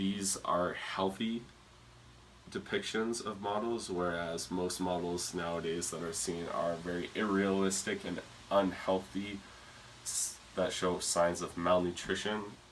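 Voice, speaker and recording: Over noticeable background noise, a man with a very deep, low pitch talks at a fairly slow pace in a monotone, flat intonation. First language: not English. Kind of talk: presentation speech. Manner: hesitant, some stuttering.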